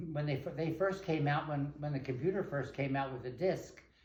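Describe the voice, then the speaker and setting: A man's fairly high-pitched voice comes through somewhat breathy. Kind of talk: interview answer.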